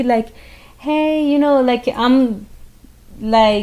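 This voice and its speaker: In a Venezuelan accent, a woman talks at a very slow pace in a dark, mellow tone with ordinary pitch variation. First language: Spanish. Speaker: podcast co-host. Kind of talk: casual chat.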